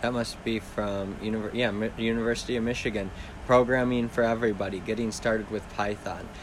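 With audible room echo, a man speaks at a fairly quick pace in a monotone, flat intonation. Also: medium pitch for a man. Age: 30s. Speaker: podcast host. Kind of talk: casual solo talk. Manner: rambling, halting.

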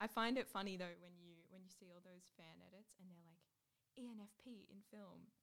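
In an Australian accent, a woman with a medium pitch keeps her intonation fairly even while her loudness swings widely. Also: moderate pace. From Newcastle, Australia. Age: 20s. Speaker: student radio host. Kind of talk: casual chat.

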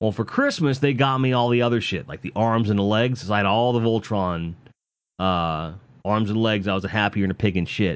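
In an unremarkable speaking voice, a man talks fairly quickly at a fairly low pitch with ordinary pitch variation. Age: 40s. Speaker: podcaster. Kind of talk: casual monologue. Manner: loose, filler-heavy.

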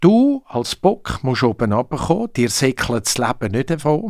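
In a very clean recording with a silent background, a man with a Swiss accent speaks at a fairly high pitch. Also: dry, close sound with no echo. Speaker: comedian. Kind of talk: casual chat. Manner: animated.

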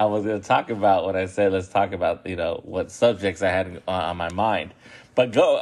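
This man has an unremarkable speaking voice, pitched fairly low. He talks at a moderate pace with ordinary pitch variation. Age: 30s. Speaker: podcast host. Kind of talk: casual monologue.

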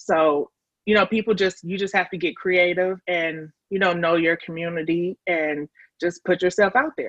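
A woman with an American accent speaks at a moderate pace and a fairly low pitch, with fairly even intonation, in a plain, everyday voice. The sound is dry and close, with no echo. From Chicago. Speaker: grant writer and fundraising consultant. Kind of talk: casual interview.

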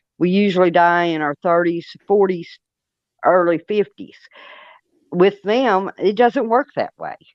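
A woman with an East Tennessee accent speaks at a medium pitch and a very slow pace. Long, frequent pauses fill the dry, close sound with no echo. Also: ordinary pitch variation. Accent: Southern US (East Tennessee). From US South, Monroe County, Tennessee. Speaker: Bigfoot experiencer. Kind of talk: casual interview. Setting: phone call on speaker.

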